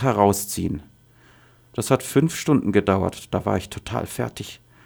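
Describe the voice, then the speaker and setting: Speaking at a moderate pace with lively intonation and vocal fry, a man is heard on a very clean recording with a silent background. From Syria, Daraa region. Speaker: refugee, former university professor. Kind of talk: testimony.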